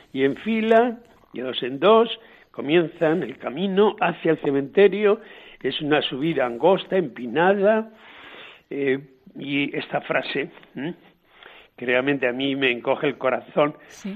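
Speaking at a fairly slow pace with long, frequent pauses, a man with a fairly high voice uses lively intonation. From Spain, Guadalajara province. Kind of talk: storytelling biography.

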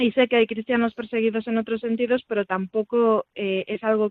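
This woman has a fairly high pitch. Her intonation is monotone and flat. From Galicia, Vigo. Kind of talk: interview testimony. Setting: phone call.

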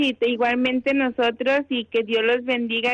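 A woman talks in a normal speaking voice at a fairly high pitch and a moderate pace. The sound is dry and close, with no echo. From Mexico. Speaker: contemplative nun. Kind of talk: phone interview.

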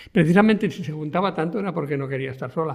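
A man with a high voice speaks with ordinary pitch variation. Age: 70s. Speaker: sociologist. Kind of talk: radio interview.

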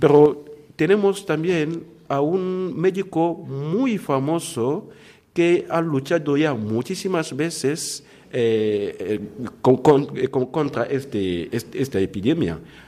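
Speaking at a very slow pace, a man uses lively intonation, his dark, mellow tone pitched fairly high for a man. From Democratic Republic of the Congo. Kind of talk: interview testimony. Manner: halting.

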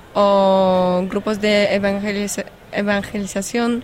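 A woman with a Polish accent speaks very slowly at a medium pitch, her intonation flat and monotone. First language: Polish (speaking Spanish). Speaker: volunteer coordinator. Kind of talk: interview. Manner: halting.

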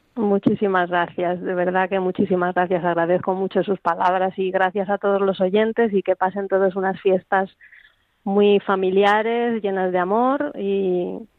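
Using a plain, everyday voice, a woman speaks at a fairly slow pace and medium pitch with fairly even intonation. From Spain. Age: 50s. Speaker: former circus performer. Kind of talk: radio interview. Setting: phone call.

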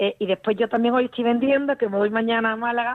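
A woman talks at a fairly quick pace with a fairly high pitch. Her intonation stays monotone and flat. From Andalusia, Spain (Utrera, Seville). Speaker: radio caller. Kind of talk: personal testimony.

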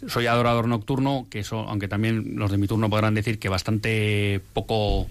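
At a fairly low pitch, a man speaks in a monotone, flat intonation. His pace is moderate. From Bilbao, Spain. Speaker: radio presenter and university professor. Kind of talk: testimony. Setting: studio.

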